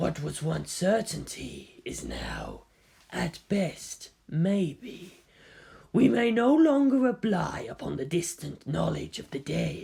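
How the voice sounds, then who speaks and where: The pace here is fairly slow. It is a put-on character voice. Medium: read story. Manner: slow, steely.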